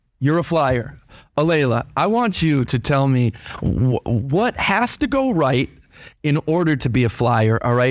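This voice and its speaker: An unremarkable speaking voice from a man, fairly high in pitch, with lively intonation, a fairly slow pace and an American accent. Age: 40s. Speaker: teacher hosting school radio show. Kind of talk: casual interview. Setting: studio.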